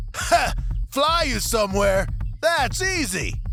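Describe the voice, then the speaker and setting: A put-on character voice with a fairly high pitch moves at a fairly slow pace. Clear music plays in the background. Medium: audio drama. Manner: grandiose, boastful.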